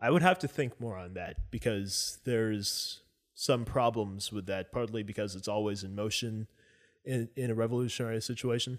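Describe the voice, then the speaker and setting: An ordinary speaking voice from a man with an American accent, medium pitch and ordinary pitch variation comes at a moderate pace on a very clean recording with a silent background. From United States. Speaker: political guest, restaurant worker. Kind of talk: casual discussion.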